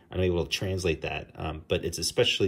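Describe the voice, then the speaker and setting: A man with a New Jersey accent talks at a fairly quick pace in a somewhat breathy voice with fairly even intonation. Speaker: comic book artist; comic artist. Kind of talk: tutorial. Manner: casual, with frequent fillers. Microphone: phone near.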